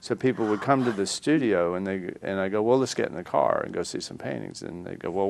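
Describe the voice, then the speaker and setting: A man speaks with a slight Southern accent and lively intonation. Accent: slight southern drawl. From US South, North Carolina and Florida. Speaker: artist. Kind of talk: interview. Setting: studio.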